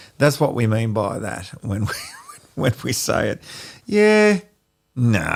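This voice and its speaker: In an Australian accent, a man talks very slowly, leaving long, frequent pauses. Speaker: podcast co-host. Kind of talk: casual chat.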